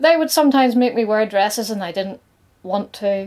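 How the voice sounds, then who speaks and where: A woman's fairly high-pitched voice with lively intonation, in a British accent. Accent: noticeable regional British. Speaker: nail artist and content creator. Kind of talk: scripted personal coming-out talk to camera.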